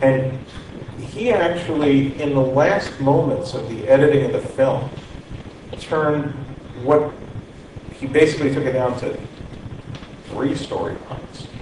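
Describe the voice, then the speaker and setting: A man speaks with fairly even intonation and long, frequent pauses. Noticeable background noise runs beneath him. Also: fairly slow pace. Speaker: media executive. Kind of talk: panel discussion. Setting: stage with audience. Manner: halting.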